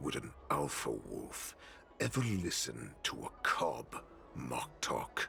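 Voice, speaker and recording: A man's put-on character voice, menacing in tone, at a very slow pace, with clear background noise. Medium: video game. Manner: arrogant, menacing.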